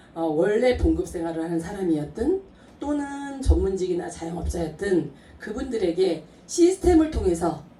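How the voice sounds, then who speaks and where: Her pitch swinging very widely around a medium level, a woman talks at a fairly slow pace. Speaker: network marketing distributor. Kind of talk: business presentation to audience.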